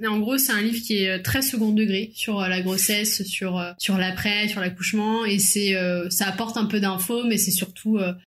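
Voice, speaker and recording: In a plain, everyday voice, the speaker goes at a moderate pace with hardly any pauses, fairly even intonation and very even loudness. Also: woman. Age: 30s. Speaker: young mother. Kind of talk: casual chat.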